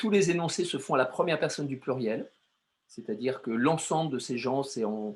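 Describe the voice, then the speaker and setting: On a very clean recording with a silent background, a man talks at a moderate pace in a medium pitch with ordinary pitch variation. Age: 60s. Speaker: artist and poet. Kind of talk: interview. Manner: halting, many hesitations.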